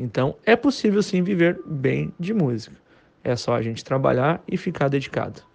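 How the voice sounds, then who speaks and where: Using very wide pitch swings, a man speaks at a moderate pace and a fairly high pitch. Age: 30s. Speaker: musician and music teacher. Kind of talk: casual monologue to camera.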